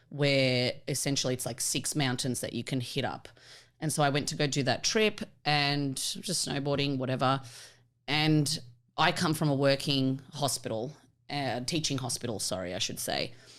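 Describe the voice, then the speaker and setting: With an Australian accent, a woman speaks in a very deep, low voice. Her pace is moderate, and her pitch varies in an ordinary way. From Australia, Melbourne. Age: 30s. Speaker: vet technician and stand-up comedian. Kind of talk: casual podcast chat.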